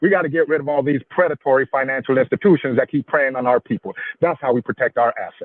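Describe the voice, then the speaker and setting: Very fast speech in an animated tone with ordinary pitch variation. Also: man, fairly high pitch for a man. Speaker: livestream co-host. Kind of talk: debate-style livestream discussion.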